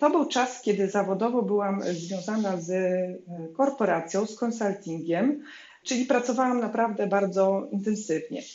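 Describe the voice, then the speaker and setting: Audible room echo hangs around this woman's voice as her pitch varies in an ordinary way. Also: medium pitch for a woman, moderate pace. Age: 40s. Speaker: business founder. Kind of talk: interview.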